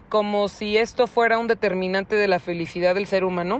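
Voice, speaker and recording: A woman speaks at a moderate pace in an ordinary speaking voice, her medium pitch held in fairly even intonation. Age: 20s. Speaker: interviewee. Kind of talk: testimony.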